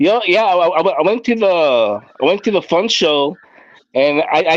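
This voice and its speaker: A man talks with a Puerto Rican accent. His pitch swings very widely. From Puerto Rico. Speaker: live stream guest. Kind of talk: casual chat.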